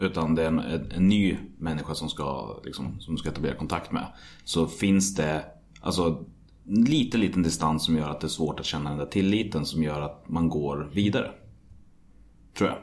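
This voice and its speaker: A man with a very deep, low pitch speaks at a moderate pace. His voice shows ordinary pitch variation, with audible room echo. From Sweden, Västmanland (Hallstahammar). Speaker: podcast host. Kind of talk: interview.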